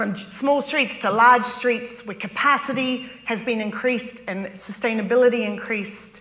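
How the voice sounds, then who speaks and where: A woman with a New Zealand accent speaks with hardly any pauses and big swings in loudness. Noticeable background noise is present. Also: fairly high pitch for a woman, fairly even intonation, moderate pace. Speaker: urban design expert. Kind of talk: public talk presentation.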